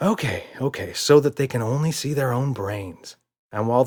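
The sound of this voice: With ordinary pitch variation, an unforced reading voice comes through over a quiet background.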